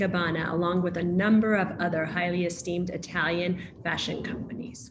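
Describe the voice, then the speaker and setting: Amid noticeable background noise and audible room echo, a woman with an American accent speaks at a medium pitch and moderate pace. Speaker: panel moderator. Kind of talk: moderated panel discussion, reading speaker introductions.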